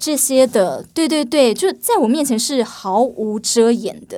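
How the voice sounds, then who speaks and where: Recorded very cleanly over a silent background, a woman speaks with a high pitch yet a dark, mellow tone. Her intonation is lively and her pace fairly slow. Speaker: entertainment journalist. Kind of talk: casual chat.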